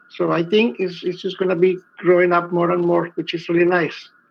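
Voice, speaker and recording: Speaking at a moderate pace, a man with a Spanish accent has a high pitch, with noticeable background noise behind him. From Colombia. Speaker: filmmaker. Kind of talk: panel discussion.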